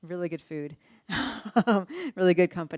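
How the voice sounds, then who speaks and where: This woman's voice sits at a fairly low pitch. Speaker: researcher. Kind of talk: lecture.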